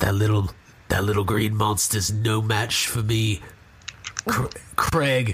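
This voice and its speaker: Using a raspy put-on character voice, a man speaks fairly low at a very slow pace, with long, frequent pauses. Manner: menacing, boastful.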